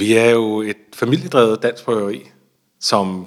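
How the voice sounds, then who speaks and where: A man at a very slow pace. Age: 30s. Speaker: brewery founder and CEO. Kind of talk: interview. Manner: hesitant, many fillers and repetitions.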